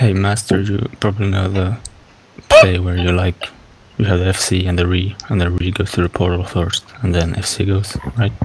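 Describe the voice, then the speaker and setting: A man mumbles in a put-on character voice with a very deep, low pitch. His delivery is monotone and flat, at a moderate pace. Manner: mumbling.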